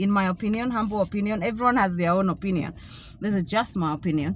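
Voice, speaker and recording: Somewhat breathy, a woman speaks with ordinary pitch variation on a very clean recording with a silent background. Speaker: author and vlogger. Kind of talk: casual vlog monologue. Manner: halting, many fillers.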